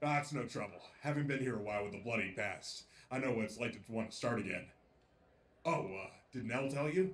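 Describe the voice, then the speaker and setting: A man mumbles in a put-on character voice at a medium pitch and a fairly quick pace. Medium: audio drama. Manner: nervous, mumbling.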